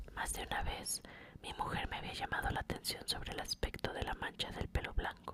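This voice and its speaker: Whispering at a moderate pace, a woman talks over noticeable background noise. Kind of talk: whispered ASMR reading of a classic short story. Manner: whispered, soft.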